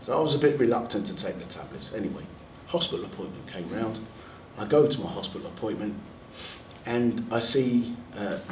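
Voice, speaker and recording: In a London accent, a man speaks at a medium pitch with lively intonation and long, frequent pauses. Audible room echo and noticeable background noise surround him. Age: 60s. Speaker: NHS staff member and army veteran. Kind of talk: panel talk sharing personal experience.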